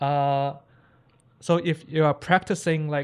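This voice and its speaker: A man is speaking. He has a non-native accent. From Hong Kong. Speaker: classical pianist and anime piano streamer. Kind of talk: live stream reaction and tutorial. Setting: live stream. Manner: casual, many fillers and repetitions.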